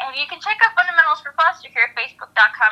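A woman projects a raised voice with lively intonation. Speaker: guest, foster care advocate and author. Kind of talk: interview, personal testimony.

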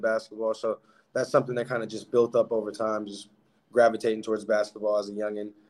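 A man talks at a very fast pace. His intonation stays monotone and flat. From Alaska, Anchorage. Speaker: professional basketball player. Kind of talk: interview.

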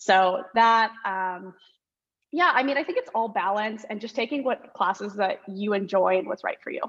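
A woman's fairly high voice, an ordinary speaking voice, with ordinary pitch variation at a moderate pace. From Orange County, California. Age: 20s. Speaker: law student. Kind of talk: casual chat.

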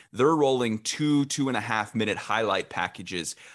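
A man at a medium pitch and moderate pace with a Midwestern American accent, in a very clean recording with a silent background. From Illinois, Champaign-Urbana. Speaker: local TV sports director. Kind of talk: interview.

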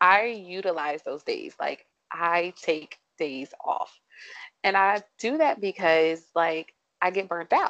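A woman talks with an American accent. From US Mid-Atlantic, southern Maryland. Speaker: occupational therapist. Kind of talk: casual chat.

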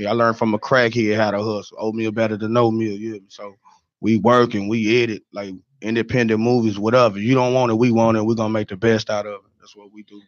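Talking at a very fast pace, a man with a Southern US accent uses a medium pitch and big swings in loudness. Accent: Southern-sounding, some Atlanta. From Chicago. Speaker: record label owner. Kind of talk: casual chat. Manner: animated.

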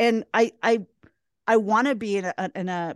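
Heard in a dry, close sound with no echo, a woman has an ordinary speaking voice, fairly high in pitch with ordinary pitch variation. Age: 40s. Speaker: positive psychology coach. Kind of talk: casual chat.

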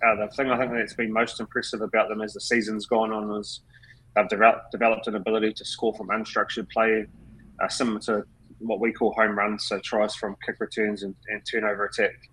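A man speaks at a fairly quick pace in a fairly low pitch. His tone is bright and sharp, his intonation monotone and flat. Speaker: rugby assistant coach. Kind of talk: podcast interview.

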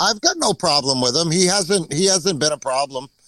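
At a moderate pace and very even loudness, a man with an American accent speaks at a fairly high pitch. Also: ordinary pitch variation, dry, close sound with no echo.

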